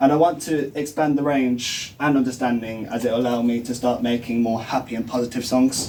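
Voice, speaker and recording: A man talks at a moderate pace and medium pitch. He has an unremarkable speaking voice. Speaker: music student. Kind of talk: class presentation; answering questions.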